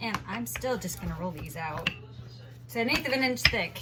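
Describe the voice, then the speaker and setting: Music plays in the background. A woman speaks over it at a fairly quick pace. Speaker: home baking vlogger. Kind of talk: unscripted cooking tutorial.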